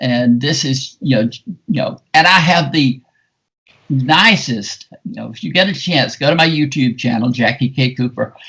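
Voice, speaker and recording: A man speaks in a Southern US accent. His voice is fairly high, with ordinary pitch variation. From US South, South Carolina. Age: 70s. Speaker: film critic. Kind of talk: podcast interview. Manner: animated.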